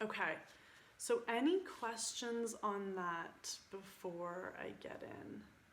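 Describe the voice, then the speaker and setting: A woman speaks at a very slow pace and a medium pitch, with ordinary pitch variation. Her loudness swings widely, and room echo is audible. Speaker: spiritual coach. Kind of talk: group video call talk. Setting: online group call. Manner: animated.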